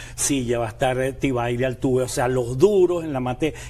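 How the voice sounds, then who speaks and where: At a fairly quick pace, a man speaks with an unremarkable speaking voice at a medium pitch. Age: 60s. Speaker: condominium platform director. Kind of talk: TV panel discussion.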